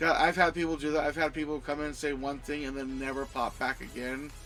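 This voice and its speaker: Over background music, a man with a slight Southern US accent talks at a fairly quick pace and a fairly high pitch. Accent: slight Southern American twang. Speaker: game streamer. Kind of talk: casual chat. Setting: live stream. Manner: halting.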